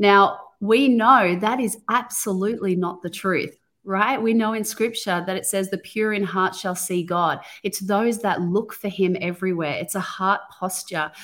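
At a moderate pace, a woman speaks in an unremarkable speaking voice, medium in pitch, with fairly even intonation. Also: very clean recording, silent background. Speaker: podcast co-host, women's ministry teacher. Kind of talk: casual faith discussion, Bible study.

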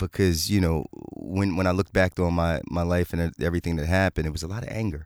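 A man's very deep, low voice in a Philadelphia accent at a very fast pace, with fairly even intonation and a dry, close sound with no echo in a very clean recording with a silent background. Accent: Philadelphia American. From Philadelphia, US. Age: 40s. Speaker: fitness coach and author. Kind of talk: testimony. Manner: halting.

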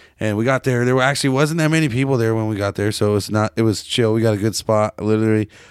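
Speaking at a very fast pace with hardly any pauses, a man with a Pacific Northwest accent keeps a medium pitch, ordinary pitch variation and very even loudness. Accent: Pacific Northwest American. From Seattle, US. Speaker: podcast host. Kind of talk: casual chat, profane banter. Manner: rambling, casual, animated.

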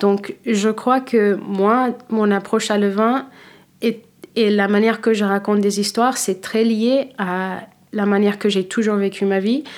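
A woman with an American accent at a very slow pace and fairly high pitch, with fairly even intonation. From United States (Philadelphia area), born in Cape Verde. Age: 30s. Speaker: wine professional, former sommelier. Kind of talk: interview. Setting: studio. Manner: halting, many hesitations.

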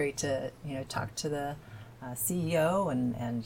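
Her voice is somewhat breathy, very deep and low for a woman, with ordinary pitch variation. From southern Indiana (Evansville). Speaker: climate initiative campaigner. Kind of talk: interview.

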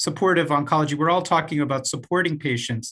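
A man with a fairly high pitch speaks in a normal speaking voice, his intonation fairly even. The background is quiet. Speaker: co-host, oncologist. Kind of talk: interview conversation.

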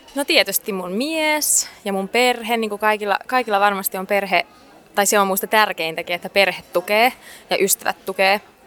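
A woman talks at a moderate pace with a medium pitch and ordinary pitch variation. The sound is dry and close with no echo, though there is noticeable background noise. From Finland. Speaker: singer. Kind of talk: interview. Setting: cafe in a library. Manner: halting.

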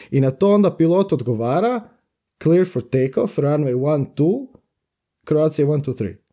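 At a fairly slow pace, a man talks with lively intonation and a fairly high pitch. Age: 20s. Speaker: professional pilot. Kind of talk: casual interview. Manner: halting.

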